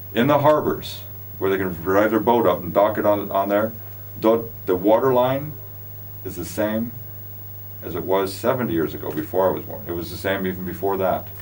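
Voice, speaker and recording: A man with an American accent speaks with long, frequent pauses. Room echo is audible, and background noise is noticeable. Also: fairly low pitch for a man, ordinary pitch variation, moderate pace. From US West Coast, California (Los Angeles). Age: 60s. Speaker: show host, business founder. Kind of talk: casual chat. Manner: animated.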